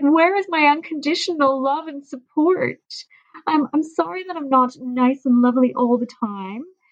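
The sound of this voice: In a put-on character voice, a female-sounding speaker sounds whiny at a high pitch and a moderate pace.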